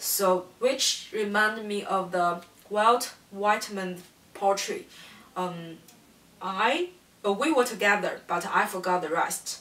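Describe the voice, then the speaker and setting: Very slowly, a woman speaks with a non-native accent at a medium pitch. Her pitch varies in an ordinary way. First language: not English. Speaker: student. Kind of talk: class presentation. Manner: halting.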